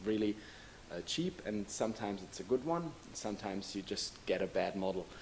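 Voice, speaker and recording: A man's fairly low voice with a non-native accent, lively intonation, a moderate pace, and light background noise. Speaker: hobby filmmaker. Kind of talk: casual talk to camera, microphone test. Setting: microphone test recording. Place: classroom. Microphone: camera far.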